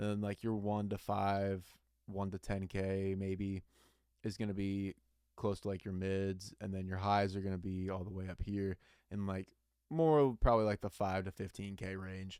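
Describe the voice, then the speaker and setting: A man speaks at a moderate pace in a fairly low, monotone, flat voice. The recording is very clean, with a silent background. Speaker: singer and music producer. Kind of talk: tutorial. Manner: casual, with many fillers.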